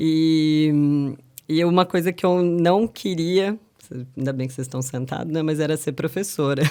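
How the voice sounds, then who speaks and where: Speaking at a fairly slow pace, a woman uses a very deep, low pitch and a dark, mellow tone, with ordinary pitch variation. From Piracicaba, interior of São Paulo state, Brazil. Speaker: professor. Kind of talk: interview conversation. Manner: relaxed, conversational.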